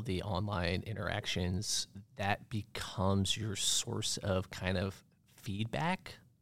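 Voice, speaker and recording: With an American accent, a man talks at a fairly low pitch in an unremarkable speaking voice, his intonation fairly even. The recording is very clean, with a silent background. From Maine, US (Bar Harbor). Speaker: marketing professional. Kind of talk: casual chat. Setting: studio.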